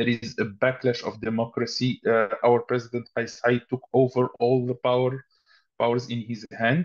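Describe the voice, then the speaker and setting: A man's medium-pitched, flat, monotone voice with an Arabic accent against a quiet background. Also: moderate pace. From Tunisia. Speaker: human rights activist; panelist. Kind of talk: webinar talk. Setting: video call. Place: home room. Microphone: video call.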